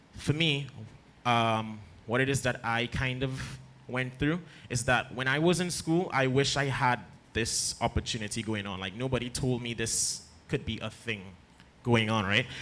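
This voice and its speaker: A man with a Trinidadian accent speaks at a moderate pace in a medium pitch, his tone bright and sharp, with ordinary pitch variation. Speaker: arts mentor. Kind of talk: panel talk to audience.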